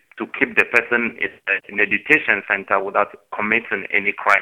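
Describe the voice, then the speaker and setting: This man's voice is fairly low in pitch. His pace is moderate and his intonation fairly even. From South Sudan, raised in Uganda. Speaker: asylum seeker in detention. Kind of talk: interview testimony. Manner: halting, many fillers.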